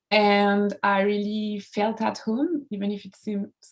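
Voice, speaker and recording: In a French accent, a woman speaks at a medium pitch, her voice somewhat breathy. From France, Charente-Maritime. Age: 20s. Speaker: comics artist. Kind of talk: casual talk on a live stream. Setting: Instagram live video. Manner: halting, many fillers.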